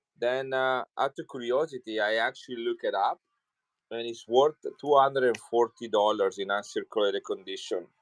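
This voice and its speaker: A man's medium-pitched voice with an Italian accent, at a moderate pace and fairly even intonation, in a dry, close sound with no echo. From Italy, Milan. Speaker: coin seller. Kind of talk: live selling stream. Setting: livestream.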